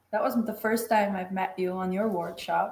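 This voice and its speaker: With a Macedonian accent, a woman talks at a moderate pace in a medium pitch with ordinary pitch variation. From North Macedonia. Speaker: engineer and facilitator. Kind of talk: casual interview.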